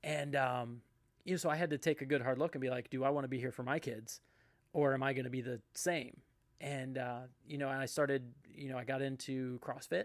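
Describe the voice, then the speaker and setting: Using a normal speaking voice, a man of medium pitch talks with fairly even intonation. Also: fairly quick pace. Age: 40s. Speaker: podcast host. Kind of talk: casual chat.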